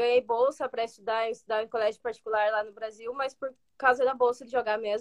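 Pitched high, a woman talks at a fairly quick pace. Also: dry, close sound with no echo. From Brazil, Ponta Grossa, Paraná. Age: 20s. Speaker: student athlete, soccer player. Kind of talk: interview.

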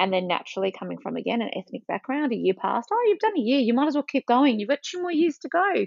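With an Australian accent, a woman talks at a very fast pace in a high pitch, her voice swinging very widely up and down with hardly any pauses. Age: 40s. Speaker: Pilates instructor and behavioural therapist. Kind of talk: casual chat.

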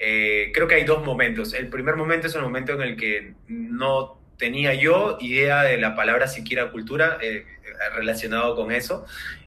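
This man's voice sits at a medium pitch, with lively intonation. He talks at a moderate pace. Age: 30s. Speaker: startup founder. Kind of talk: interview. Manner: halting.

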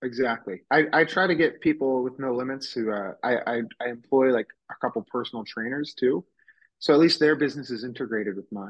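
A man with an ordinary speaking voice talks at medium pitch and a fairly quick pace. His pitch varies in an ordinary way. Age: 20s. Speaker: nutrition store owner. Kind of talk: casual interview.

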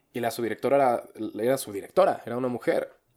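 On a very clean recording with a silent background, the words go by at a very fast pace. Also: man. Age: young. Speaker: podcast co-host. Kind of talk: casual chat.

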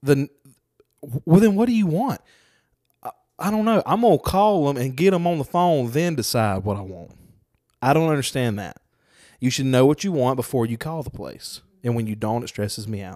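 A man with a Southern US accent and a dark, mellow tone speaks fairly high in pitch at a fairly quick pace, with long, frequent pauses. His pitch swings very widely and his loudness varies greatly, on a very clean recording with a silent background. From Mississippi, Lucedale. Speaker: podcast co-host. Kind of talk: casual chat.

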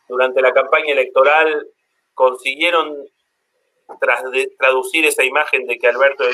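The pauses are long and frequent. Between them, a man keeps a moderate pace. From Argentina. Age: 40s. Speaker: economist. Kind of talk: interview.

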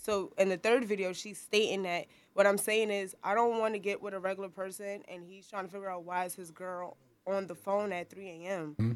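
A woman with a New York accent speaks with fairly even intonation. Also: medium pitch for a woman, fairly quick pace, big swings in loudness. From Harlem, New York. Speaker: photographer. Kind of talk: casual chat.

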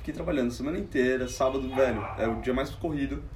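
Recorded with audible room echo and noticeable background noise, a man speaks at a very fast pace. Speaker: comedian. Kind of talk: casual chat. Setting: at home.

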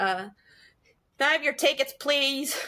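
A high, female-sounding put-on character voice in a Boston accent

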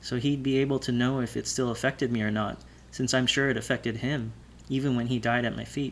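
The plain reading aloud keeps to fairly even intonation.

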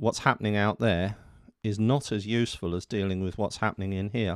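This man speaks in an ordinary speaking voice, fairly low, with ordinary pitch variation. The recording is very clean, with a silent background. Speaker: meditation teacher. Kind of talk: guided meditation; lecture. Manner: slow, calm and soothing, with gentle pauses; soft-spoken.

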